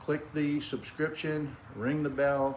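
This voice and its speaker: Audible room echo colors this recording. The man talks in an American accent. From New England (Cape Cod, Massachusetts). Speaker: backyard cooking YouTuber. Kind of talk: cooking tutorial. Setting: outdoors in backyard. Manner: casual, folksy.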